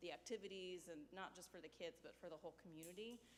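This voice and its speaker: A woman talks at a fairly quick pace with a medium pitch and fairly even intonation. Noticeable background noise runs behind her. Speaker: library director and community developer. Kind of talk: public meeting presentation. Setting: school board meeting room. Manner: loud.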